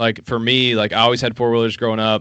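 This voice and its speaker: A man with an Appalachian accent speaks at a medium pitch. The background is quiet. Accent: Appalachian Southern US. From US South, Appalachian Kentucky. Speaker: hunting app entrepreneur. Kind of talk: casual interview.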